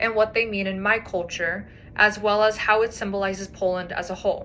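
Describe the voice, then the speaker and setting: With ordinary pitch variation, the talking proceeds at a moderate pace. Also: woman. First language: Polish. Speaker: student. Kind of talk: class presentation rehearsal. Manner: formal.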